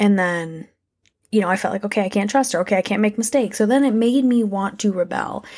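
On a very clean recording with a silent background, a plain, everyday voice moves with ordinary pitch variation. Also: woman. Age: 20s. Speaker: podcast host. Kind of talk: personal monologue. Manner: casual.

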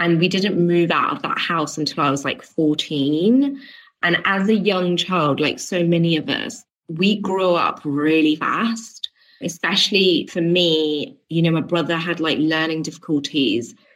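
A woman with a British accent talks at a fairly slow pace, fairly low in pitch, with ordinary pitch variation. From England. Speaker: business coach for entrepreneurs. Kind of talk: interview. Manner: casual, with frequent fillers.

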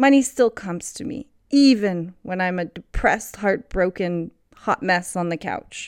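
A plain, everyday voice speaks at a fairly slow pace with lively intonation. The sound is dry and close with no echo, and the recording is very clean over a silent background. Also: woman, medium pitch for a woman. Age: 30s. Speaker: podcast host. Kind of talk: solo monologue. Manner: laughs often.

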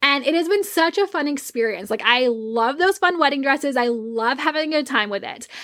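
Lively intonation and a bright, sharp, animated tone at a fairly quick pace, with hardly any pauses. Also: woman, high pitch for a woman. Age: 30s. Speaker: podcast host and wedding photographer. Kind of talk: casual solo podcast monologue.

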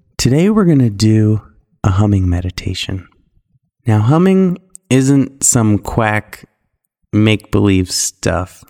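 A man's fairly low, dark and mellow voice, calm and soothing, with lively intonation, very slow pace, long frequent pauses, very even loudness, and a dry, close sound with no echo. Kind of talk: guided meditation. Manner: slow, calm and soothing, with long hummed stretches.

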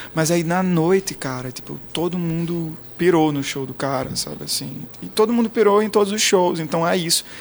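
Over noticeable background noise, a man with a high pitch talks with hardly any pauses and ordinary pitch variation. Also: moderate pace. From Brazil, interior of Pernambuco (Garanhuns). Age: 20s. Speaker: pop singer. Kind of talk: interview. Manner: casual.

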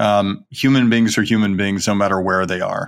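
A man with an American accent, at a moderate pace. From US South, Birmingham, Alabama. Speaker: company chief executive. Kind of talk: interview.

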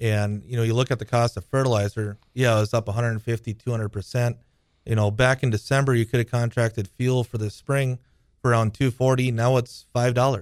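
A man with a medium-pitched voice talks at a fairly quick pace in a flat monotone, recorded dry and close with no echo. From North Dakota. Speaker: farmer. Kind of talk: casual interview. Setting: studio.

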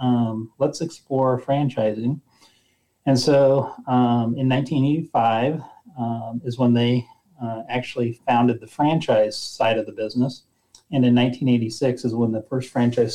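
Here a man with an American accent speaks in an unremarkable speaking voice at a medium pitch. His intonation is fairly even and his pace fairly slow. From rural central Nebraska. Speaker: retail company president. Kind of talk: interview.

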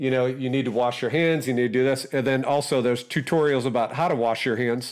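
This man has a plain, everyday voice at a medium pitch. His intonation stays fairly even. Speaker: podcast co-host. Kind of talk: casual family chat. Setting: video call.

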